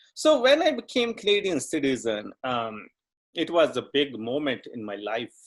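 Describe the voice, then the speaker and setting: A man speaks with a Punjabi accent and a fairly high pitch. His pitch swings very widely. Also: moderate pace. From Punjab, India. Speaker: dancer and writer. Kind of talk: interview. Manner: halting.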